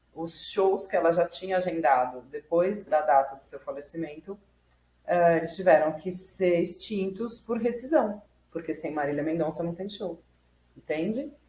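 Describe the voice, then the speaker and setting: A woman with a plain, everyday voice and fairly low pitch speaks at a moderate pace, with ordinary pitch variation and big swings in loudness. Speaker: law student and YouTube educator. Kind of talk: tutorial. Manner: casual, self-correcting.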